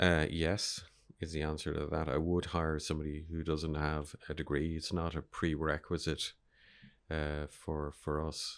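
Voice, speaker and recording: A man with an Irish accent talks fairly slowly in a very deep, low voice. His intonation is flat and monotone, in a very clean recording with a silent background. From Ireland. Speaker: media entrepreneur. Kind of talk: interview.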